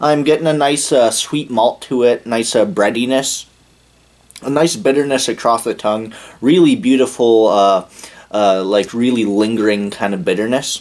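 The pace is moderate. This man's pitch shows ordinary pitch variation. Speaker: beer reviewer. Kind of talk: casual review commentary. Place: home room. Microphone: camera far.

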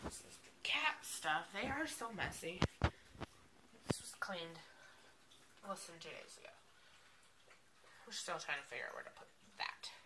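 Long, frequent pauses break up the fairly slow speech, heard over noticeable background noise. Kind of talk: casual vlog chat. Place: home room. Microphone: phone near.

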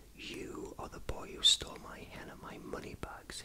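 Whispering in a put-on character voice, a woman speaks at a moderate pace over loud background noise. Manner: bellowing, furious.

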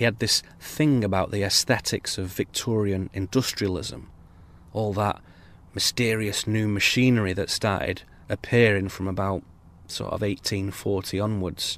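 Fairly low in pitch, a man talks in a normal speaking voice at a moderate pace with fairly even intonation. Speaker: spoken word essayist. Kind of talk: improvised spoken word essay. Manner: reflective, musing.

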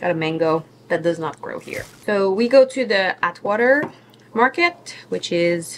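A woman talks over light background noise. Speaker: vlogger. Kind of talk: casual vlog chat. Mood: cheerful, relaxed. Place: kitchen. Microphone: phone near.

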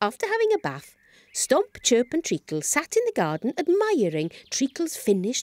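Text plainly read aloud

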